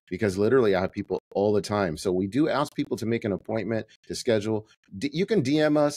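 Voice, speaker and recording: With lively intonation and an animated tone, a man talks at a very fast pace. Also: medium pitch for a man, dry, close sound with no echo. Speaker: print shop owner and podcast host. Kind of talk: casual podcast tutorial monologue.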